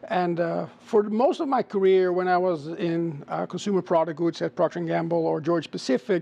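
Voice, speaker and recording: The speaker has a Dutch accent and a dark, mellow tone. The delivery is fairly quick, with ordinary pitch variation and hardly any pauses. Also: man, high pitch for a man. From Netherlands. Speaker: chief marketing officer. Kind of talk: interview. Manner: hesitant, many filler sounds.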